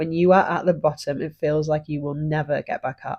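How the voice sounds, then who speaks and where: A woman speaks with a British accent. Her pitch varies in an ordinary way. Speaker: podcast host. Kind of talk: personal story, podcast monologue.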